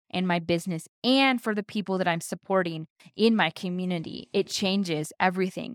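A woman with an American accent uses a plain, everyday voice at medium pitch with ordinary pitch variation. The very clean recording has a silent background and a dry, close sound with no echo. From South Carolina. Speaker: podcast host, wedding photographer. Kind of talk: casual personal storytelling monologue. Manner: conversational with filler words.

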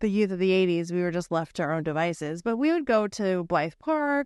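In a Pacific Northwest accent, a woman of medium pitch talks at a fairly quick pace with very wide pitch swings. The sound is dry and close with no echo, over a quiet background. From Bothell, Washington, US Pacific Northwest. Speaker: podcast co-host. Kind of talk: casual chat.

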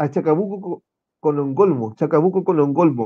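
A man's fairly high voice in a Chilean accent, with a dark, mellow tone and lively intonation. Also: dry, close sound with no echo. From Chile, Concepción. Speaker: political candidate and activist. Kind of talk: casual interview.

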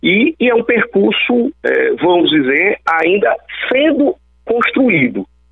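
Amid noticeable background noise, a man speaks at a very slow pace with very even loudness. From Brazil, Alagoas (Northeast). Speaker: electoral law attorney and professor. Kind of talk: radio interview. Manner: halting, with frequent fillers.

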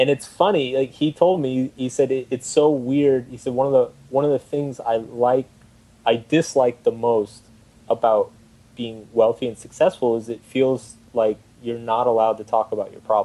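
With an American accent, a man talks in an ordinary speaking voice at a moderate pace, medium in pitch and fairly even in intonation. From Texas, Austin. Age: 30s. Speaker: writer and blogger. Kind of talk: casual chat.

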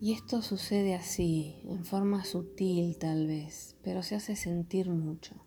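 The speech moves at a very slow pace. There are hardly any pauses. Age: 30s. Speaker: spiritual podcaster. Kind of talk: reflective spiritual monologue. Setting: home recording corner.

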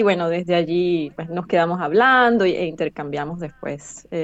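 This woman has a medium-pitched voice. Her intonation is lively. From Venezuela, Caracas. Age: 30s. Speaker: linguist and translator. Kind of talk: interview, personal testimony. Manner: hesitant, many fillers and repetitions.

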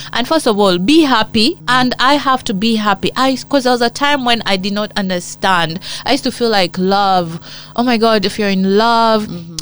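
Speaking at a fairly quick pace with a Ugandan accent, a woman uses a fairly high pitch and ordinary pitch variation. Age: 40s. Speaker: actress. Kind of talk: interview.

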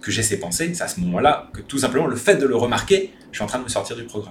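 Medium in pitch, a man talks at a fairly quick pace with lively intonation. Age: 30s. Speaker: spiritual content creator. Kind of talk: personal monologue video. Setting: rented bungalow at home.

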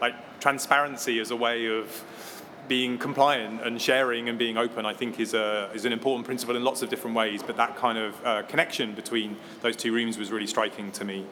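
Amid noticeable background noise, a man talks fairly quickly at medium pitch in a monotone, flat intonation. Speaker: technology company education director, panellist. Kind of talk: panel discussion.

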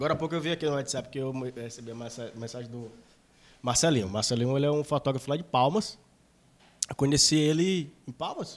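A man talks at a very fast pace with long, frequent pauses. His pitch is fairly high, with ordinary variation. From interior of Maranhão, Brazil. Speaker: electronic music DJ and producer. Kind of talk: casual chat.

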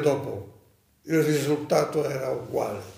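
Over audible room echo, a man with a dark, mellow tone and a fairly high pitch speaks at a fairly slow pace, somewhat breathy, with fairly even intonation. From Rhodes, Greece (Dodecanese). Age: 90s. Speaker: Holocaust survivor. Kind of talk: testimony.

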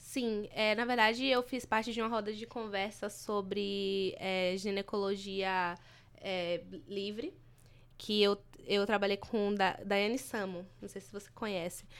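A woman with a normal speaking voice at medium pitch speaks at a fairly slow pace, her intonation fairly even but her loudness swinging widely, on a very clean recording with a silent background. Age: 20s. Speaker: journalism student, activist. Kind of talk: casual chat.

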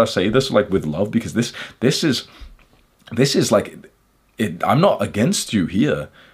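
With vocal fry at a medium pitch, a man speaks and stops often for long pauses. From England, Liverpool. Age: 20s. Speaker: youtuber. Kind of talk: monologue. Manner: casual, filler-heavy.

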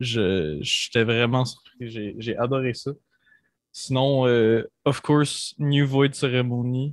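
With long, frequent pauses and a very slow pace, a man speaks at a medium pitch with ordinary pitch variation against a quiet background. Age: young. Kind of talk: interview.

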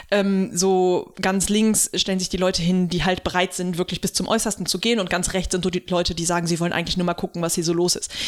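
The woman's delivery is very fast. She keeps a flat, monotone intonation throughout. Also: medium pitch for a woman, hardly any pauses. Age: 30s. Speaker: podcast co-host and activist. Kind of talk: casual chat.

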